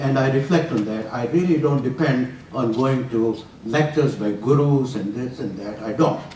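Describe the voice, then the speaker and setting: A man speaks at a medium pitch. Audible room echo and noticeable background noise surround his voice. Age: 80s+. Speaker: retired physician giving a talk on scripture. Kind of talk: lecture. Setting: university room with audience, walking with mic.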